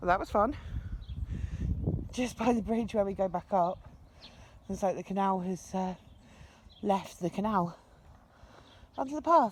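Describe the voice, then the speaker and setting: A woman of medium pitch speaks with an English accent and ordinary pitch variation. Her moderate pace is broken by long, frequent pauses. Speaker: narrowboat vlogger. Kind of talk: vlog narration. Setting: outdoors. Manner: soft-spoken; casual.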